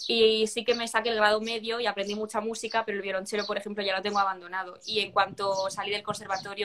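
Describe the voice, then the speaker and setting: A woman speaks at a very fast pace. Her intonation is monotone and flat. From Spain, Cartagena (Murcia); Murcia, Spain. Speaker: singer-songwriter; interviewee. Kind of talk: interview. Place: home room. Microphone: video call.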